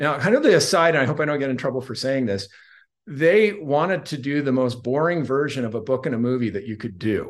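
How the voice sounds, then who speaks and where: In an American accent, a normal speaking voice with lively intonation moves at a fairly quick pace against a quiet background. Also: man, fairly high pitch for a man. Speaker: author and public relations spokesman. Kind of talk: casual interview.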